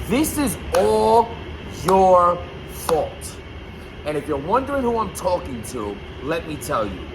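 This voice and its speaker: A loud man speaks at a very slow pace and a high pitch, with long, frequent pauses and very wide pitch swings. Room echo is audible and background noise noticeable. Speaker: YouTube blogger on battle rap. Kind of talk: casual vlog commentary. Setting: loud basement room.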